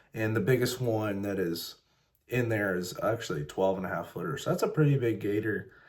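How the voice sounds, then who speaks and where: A man's fairly low, somewhat breathy voice with an American accent, ordinary pitch variation, and a fairly quick pace. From Ohio, US Midwest. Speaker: fishing vlogger. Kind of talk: vlog narration. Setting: outdoors on a lake in a kayak. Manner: casual with fillers.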